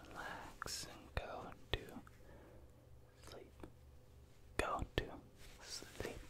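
A soft-spoken man whispers at a very slow pace. The sound is dry with no echo, though noticeable background noise comes through. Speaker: ASMR creator. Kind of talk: soft repetitive sleep prompts. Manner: soft close-mic ASMR whisper. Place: home room. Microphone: studio mic.

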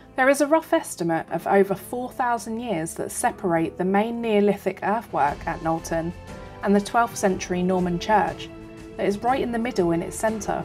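With music playing in the background, a woman talks at a moderate pace using lively intonation. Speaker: tour narrator. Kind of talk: documentary narration.

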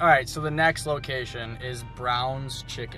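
A man's voice, dry with no echo, over faint music in the background. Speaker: vlogger host. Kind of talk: casual vlog chat. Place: car. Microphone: phone near.

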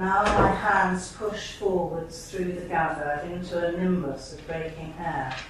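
Noticeable background noise sits under a woman speaking very slowly at a fairly low pitch with fairly even intonation. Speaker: poet. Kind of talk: poetry reading with brief spoken introductions to each poem. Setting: stage with audience at a college event. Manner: halting, hesitant in introductions, with frequent fillers.

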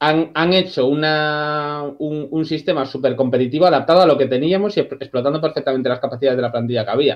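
Over a quiet background, a man with an unremarkable speaking voice and a fairly high pitch talks at a fairly quick pace with fairly even intonation. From Galicia, A Coruña. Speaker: channel subscriber and football fan panelist. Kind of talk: casual chat. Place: home room. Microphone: video call.

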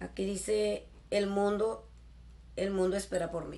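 A woman speaks in an animated tone, with light background noise. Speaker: YouTuber; haul vlogger. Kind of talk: shopping haul video. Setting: in a store. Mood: cheerful, enthusiastic. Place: home room. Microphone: webcam.

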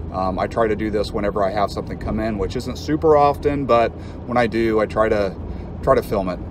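A man with a fairly low pitch talks at a very fast pace with ordinary pitch variation, in a dry sound with no echo and noticeable background noise. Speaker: reptile keeper channel host. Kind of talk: casual vlog chat. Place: car. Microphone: phone near.

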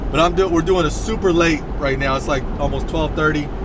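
Loud background noise sits under a man's voice. The sound is dry with no echo. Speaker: fishing vlogger. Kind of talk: casual vlog chat. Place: car.

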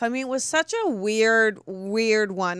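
A woman speaks fairly slowly with a bright, sharp tone and ordinary pitch variation. The sound is dry with no echo, and the background is quiet. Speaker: show host. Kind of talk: casual talk show chat. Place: studio. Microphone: studio mic.

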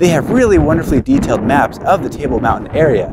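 Over loud background noise, a man talks in a dry sound with no echo. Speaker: outdoor guide host. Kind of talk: tourism guide talk to camera. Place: open country.

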